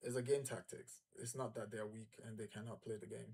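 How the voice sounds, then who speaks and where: Somewhat breathy, a man speaks at medium pitch in a monotone, flat intonation. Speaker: football channel host. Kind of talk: live match watch-along commentary.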